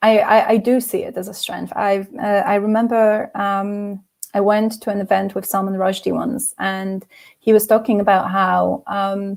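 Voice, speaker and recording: A woman with a slight non-native accent speaks at a moderate pace in a monotone, flat intonation. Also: medium pitch for a woman. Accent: slight non-native cadence. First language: not English. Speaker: debut fantasy novelist. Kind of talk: interview conversation. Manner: hesitant, many fillers and repeats.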